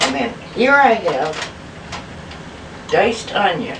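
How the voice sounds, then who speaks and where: In an Upper Midwest accent, a woman speaks at a very slow pace. Noticeable background noise runs under her voice. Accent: Upper Midwest American. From Milwaukee, Wisconsin. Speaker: home cook. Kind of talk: home cooking demonstration.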